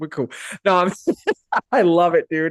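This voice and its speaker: With an American accent, a man speaks at a very fast pace with ordinary pitch variation. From Arizona. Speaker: podcast host. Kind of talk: casual chat. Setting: video call. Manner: animated.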